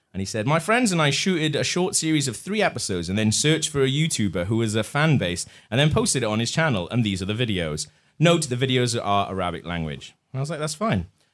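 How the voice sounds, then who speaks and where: A man with a British accent and medium pitch, animated in tone, with very wide pitch swings at a very fast pace, on a very clean recording with a silent background. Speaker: comedy podcast host. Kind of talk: live comedy show banter. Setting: pub stage with live audience.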